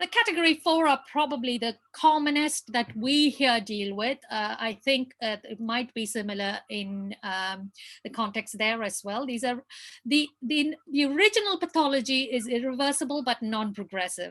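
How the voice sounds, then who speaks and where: A woman speaks at a moderate pace in a high voice with lively intonation against a quiet background. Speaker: pediatric palliative care doctor. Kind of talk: lecture.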